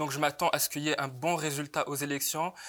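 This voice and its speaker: The man's voice has a bright, sharp tone and a fairly high pitch. His intonation is monotone and flat. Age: 20s. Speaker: student activist. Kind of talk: panel discussion. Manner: halting.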